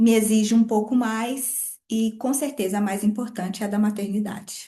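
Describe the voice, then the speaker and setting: A woman with a dark, mellow tone speaks at a fairly slow pace and fairly high pitch. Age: 40s. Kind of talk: podcast interview testimony.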